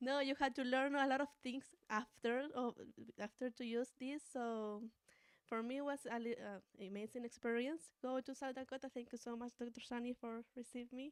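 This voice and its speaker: A woman with a Spanish accent speaks at a high pitch and a moderate pace. Her intonation is monotone and flat, and the sound is dry and close with no echo. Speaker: doctoral student. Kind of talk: seminar talk. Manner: halting.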